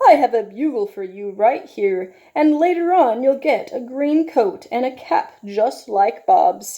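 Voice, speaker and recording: In a put-on character voice, a woman speaks high in pitch and at a fairly slow pace. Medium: read story. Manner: firm, directive.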